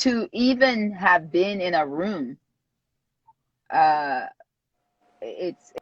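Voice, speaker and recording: A woman speaks at a very slow pace and a medium pitch, with lively intonation and long, frequent pauses. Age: 50s. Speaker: publicist. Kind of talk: interview. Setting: video call livestream. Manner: halting.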